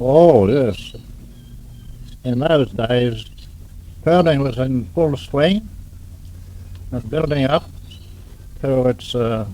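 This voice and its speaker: With an Australian accent, a man at a medium pitch speaks very slowly in a dark, mellow tone, with ordinary pitch variation and long, frequent pauses. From Melbourne, Australia. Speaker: pearling master. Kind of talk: oral history interview answer. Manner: sober, humorous.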